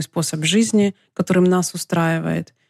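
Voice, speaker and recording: In a very clean recording with a silent background, a woman's dark, mellow voice sounds dry and close with no echo. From Ukraine, Donetsk. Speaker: podcast host, entrepreneur. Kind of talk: solo monologue podcast.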